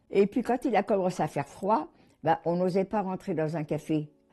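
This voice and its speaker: A woman talks with very wide pitch swings and a dark, mellow tone. The background is quiet. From Paris region, France. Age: 90s. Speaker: Holocaust survivor. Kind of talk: testimony. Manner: halting.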